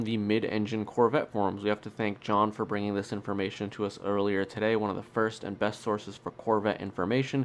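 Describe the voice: A man speaks with a nasal voice at a fairly low pitch. His pace is fairly quick.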